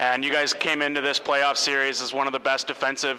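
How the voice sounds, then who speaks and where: Against noticeable background noise, a man talks fairly quickly in a fairly high pitch. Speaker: sports broadcaster. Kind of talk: sports interview, host asking questions.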